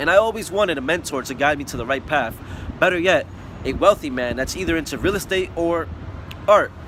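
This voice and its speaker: A man with a New York accent talks at a fairly quick pace in a high voice, his intonation lively. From New York City (Bronx), US. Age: 20s. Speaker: student testimonial giver, painter. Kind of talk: testimonial. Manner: casual, slightly halting.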